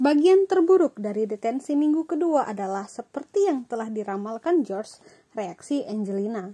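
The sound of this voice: A woman with a dark, mellow tone and a slightly husky edge speaks at a moderate pace in a fairly high pitch with lively intonation.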